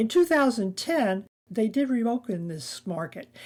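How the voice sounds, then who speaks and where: A dark, mellow tone at a fairly slow pace. The recording is very clean, with a silent background. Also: woman. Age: 70s. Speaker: travel vlogger. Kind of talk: scripted travel narration.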